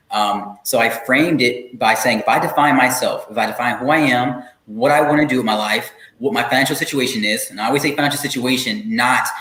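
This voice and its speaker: Through audible room echo and noticeable background noise, a man speaks very fast at a medium pitch with ordinary pitch variation. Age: young. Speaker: expert guest on workplace intersectionality. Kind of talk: interview conversation.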